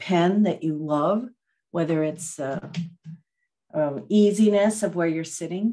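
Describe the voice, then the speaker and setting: With a very deep, low pitch and ordinary pitch variation, a woman speaks at a fairly slow pace. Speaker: meditation teacher. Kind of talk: talk to a live online group before a guided meditation. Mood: warm, reflective. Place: home room. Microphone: video call.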